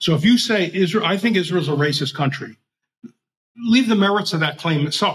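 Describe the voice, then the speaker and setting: Here a man speaks at a high pitch and a fairly quick pace. His intonation is lively. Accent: American. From Philadelphia, US. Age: 70s. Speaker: libertarian writer and editor. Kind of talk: casual interview conversation.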